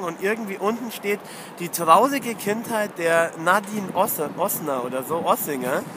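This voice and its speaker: Against noticeable background noise, a man's raised, projected voice sits high in pitch, animated in tone, with lively intonation at a moderate pace. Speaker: football fan podcaster. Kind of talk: casual chat. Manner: animated ranting. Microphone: mono recording, technical problems.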